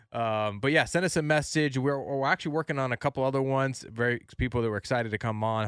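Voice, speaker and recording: Very fast speech with ordinary pitch variation comes through a very clean recording, silent in the background, with a dry, close sound and no echo. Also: man. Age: 30s. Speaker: radio producer and podcast co-host. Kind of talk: casual chat. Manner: animated.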